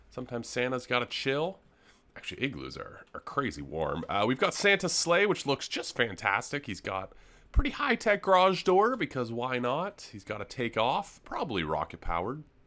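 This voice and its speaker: A man speaks at a medium pitch with a bright, sharp tone and vocal fry. His pitch swings very widely. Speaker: gaming youtuber. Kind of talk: gameplay commentary. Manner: fast.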